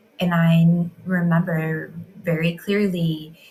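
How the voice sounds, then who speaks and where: A woman's somewhat breathy voice, fairly low in pitch. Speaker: women's healing coach. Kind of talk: reflective monologue. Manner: stuttering, hesitating.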